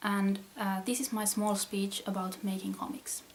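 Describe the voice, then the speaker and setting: A woman speaks with a Finnish accent. There is noticeable background noise. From Finland. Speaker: comic artist. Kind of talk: reading aloud.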